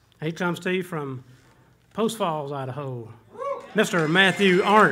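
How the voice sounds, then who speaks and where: With a Southern US accent, a man speaks at a fairly slow pace and a high pitch. Room echo is audible, and background noise is noticeable. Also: ordinary pitch variation. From Georgia, US South. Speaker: bluegrass bandleader. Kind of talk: stage banter. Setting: stage with audience. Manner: folksy, joking.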